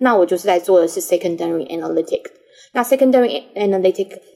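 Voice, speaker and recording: Music plays in the background as a woman speaks. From Taiwan. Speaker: pharma business analytics manager. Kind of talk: interview.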